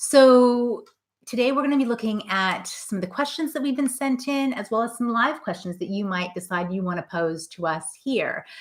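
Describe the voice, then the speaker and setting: Heard on a very clean recording with a silent background, a speaker with a non-native accent talks at a moderate pace with lively intonation. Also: woman, fairly high pitch for a woman. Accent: non-Scottish accent, from abroad. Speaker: career coach. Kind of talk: live stream Q&A. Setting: live video stream. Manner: animated.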